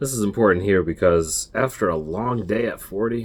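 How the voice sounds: Reading in a natural reading voice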